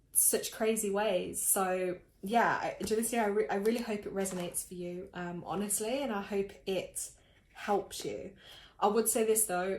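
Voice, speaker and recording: Fairly even intonation with audible room echo. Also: woman. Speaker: tarot and energy reader. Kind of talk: live stream reading. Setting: live stream.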